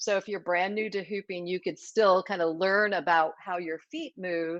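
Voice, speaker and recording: A woman speaks in an unremarkable speaking voice at a medium pitch and a moderate pace. Her intonation is fairly even, and the sound is dry and close with no echo. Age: 60s. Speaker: hoop dance teacher and former ballroom dancer. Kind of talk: interview. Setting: live stream from her dance studio.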